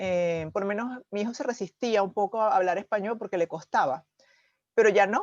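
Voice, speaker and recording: Over a quiet background, a woman uses a normal speaking voice at a medium pitch and a moderate pace, with ordinary pitch variation in a dry, close sound with no echo. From Venezuela. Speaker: channel host. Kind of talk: interview conversation.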